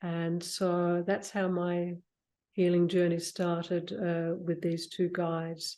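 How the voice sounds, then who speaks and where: A woman with a fairly low pitch and a dark, mellow tone speaks at a fairly slow pace against a quiet background. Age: 60s. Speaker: spiritual mentor and healer. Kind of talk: interview conversation.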